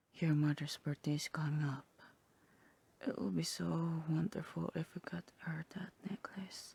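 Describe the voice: A woman puts on a cartoonish character voice, low in pitch with a dark, mellow tone. It has a husky, rough edge, vocal fry and fairly even intonation. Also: moderate pace.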